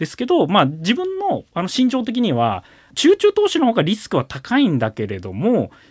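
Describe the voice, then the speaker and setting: The sound is dry and close with no echo as a man speaks at a moderate speed. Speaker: individual investor. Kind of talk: radio interview.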